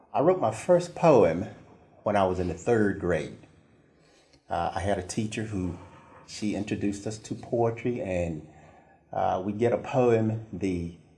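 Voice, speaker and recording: Speaking with an American accent, a man with a fairly low pitch and a dark, mellow tone talks at a fairly slow pace with lively intonation, a somewhat breathy quality, long, frequent pauses and audible room echo. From eastern North Carolina, Pamlico Sound area. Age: 60s. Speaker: children's author and poet. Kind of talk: interview. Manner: hesitant, many fillers.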